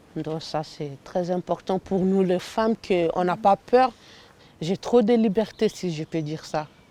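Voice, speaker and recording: A woman's dark, mellow voice at medium pitch, very slow, with ordinary pitch variation and a dry, close sound with no echo. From Central African Republic. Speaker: refugee. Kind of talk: interview.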